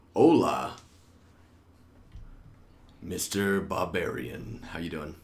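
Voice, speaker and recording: A man puts on a raspy, strained character voice at a very deep, low pitch, speaking at a very slow pace. Long, frequent pauses break it up, and there is an audible echo. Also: lively intonation. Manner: strained, put-on voice.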